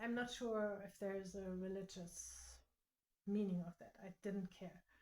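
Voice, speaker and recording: This woman speaks with a non-native accent at a medium pitch. Her pace is fairly slow and her intonation fairly even. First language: not English. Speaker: quilting content creator. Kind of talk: tutorial. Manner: halting.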